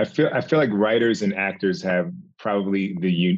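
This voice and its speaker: Using an ordinary speaking voice, a man talks at a fairly low pitch and a fairly slow pace with ordinary pitch variation. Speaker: podcast host and director. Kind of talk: casual interview.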